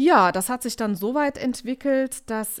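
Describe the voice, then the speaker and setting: The woman talks rather slowly, her intonation lively. Her recording is very clean, the background completely silent. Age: 30s. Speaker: business founding consultant. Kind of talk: interview. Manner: hesitant, many filler sounds.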